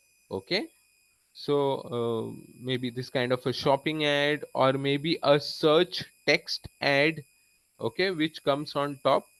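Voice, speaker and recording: A man's fairly high voice at a very slow pace, fairly even in intonation, with long, frequent pauses and a dry, close sound free of echo. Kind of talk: lecture.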